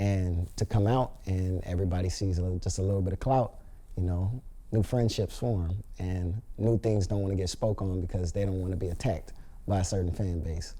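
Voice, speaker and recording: A man with an American accent speaks at a fairly quick pace, his voice very deep and low. His tone is dark, mellow and somewhat breathy, with fairly even intonation. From Los Angeles, US. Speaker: reality TV contestant. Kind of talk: interview. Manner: casual, filler-heavy.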